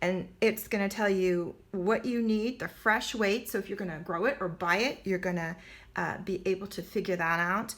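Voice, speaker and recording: In an ordinary speaking voice, a woman at medium pitch talks at a moderate pace with fairly even intonation, on a very clean recording with a silent background. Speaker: online homesteading teacher. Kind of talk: product walkthrough.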